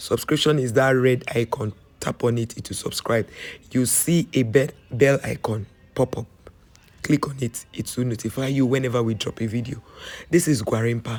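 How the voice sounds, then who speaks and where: At a moderate pace, a man with a medium pitch sounds strained, his fairly even intonation broken by long, frequent pauses. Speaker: travel vlogger. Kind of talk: voiceover narration for tour video.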